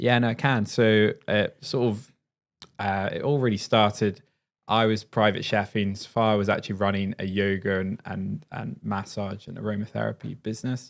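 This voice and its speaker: A man talks at a moderate pace in an unremarkable speaking voice, pitched fairly low. The recording is very clean, with a silent background. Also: fairly even intonation. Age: 30s. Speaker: chef and cookery teacher. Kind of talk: podcast interview.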